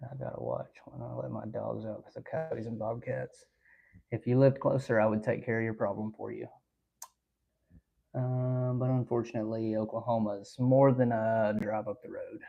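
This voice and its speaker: A man with an Alabama accent, at a moderate pace, with big swings in loudness. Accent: US Southern (Alabama). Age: 20s. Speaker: hunting and trapping livestreamer. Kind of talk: live stream chat reading viewer comments. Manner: casual, many filler ums.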